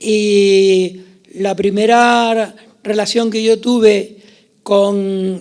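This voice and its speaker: A man with a high pitch and monotone, flat intonation. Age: 70s. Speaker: journalist. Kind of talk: panel discussion. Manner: halting.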